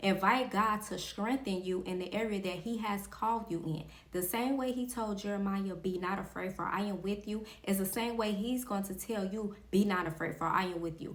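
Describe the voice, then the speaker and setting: A woman speaks at a moderate pace with a medium pitch and fairly even intonation. Noticeable background noise and audible room echo surround her voice. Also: hardly any pauses. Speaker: faith podcast host. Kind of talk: motivational faith talk. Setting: recording in front of a camera.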